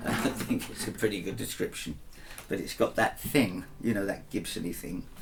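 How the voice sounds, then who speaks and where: Here a man talks at a moderate pace. Background noise is noticeable. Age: 70s. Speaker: singer and guitarist. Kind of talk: casual talk to camera. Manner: halting with many fillers.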